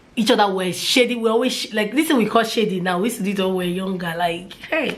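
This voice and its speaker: A woman talks very fast in a fairly high voice with ordinary pitch variation, with audible room echo and noticeable background noise. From Nigeria, Port Harcourt. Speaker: mommy vlogger. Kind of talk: casual vlog talk.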